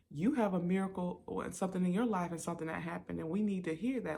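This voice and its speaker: A woman speaks at a fairly low pitch in a dark, mellow tone. Her voice is raspy and somewhat breathy. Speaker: podcast host and singer. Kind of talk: personal testimony podcast.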